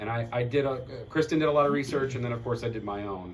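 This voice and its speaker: With audible room echo, a man speaks at a moderate pace with lively intonation. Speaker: community board member presenting at meeting. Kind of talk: community meeting discussion. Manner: loud.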